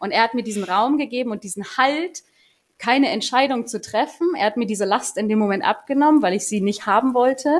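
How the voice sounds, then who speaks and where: A woman with a high pitch talks at a fairly quick pace, her intonation lively. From Berlin. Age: 30s. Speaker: community manager. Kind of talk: casual chat.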